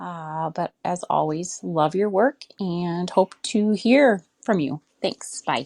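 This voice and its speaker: A woman's very slow, fairly low-pitched speech with a Minnesotan accent, lively intonation and hardly any pauses, in a dry, close sound with no echo. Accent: Minnesota. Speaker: caller. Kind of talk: recorded voice message.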